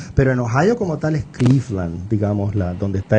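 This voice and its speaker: A man with a strong Puerto Rican accent speaks at a fairly quick pace and fairly low pitch, his dark, mellow tone somewhat breathy. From Puerto Rico, Caguas. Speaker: writer and university professor. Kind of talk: radio interview.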